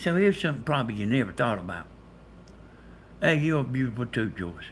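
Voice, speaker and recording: A man talks in a Southern US accent. His voice is somewhat breathy, with very wide pitch swings. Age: 60s. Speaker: live streamer. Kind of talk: casual chat. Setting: livestream. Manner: animated.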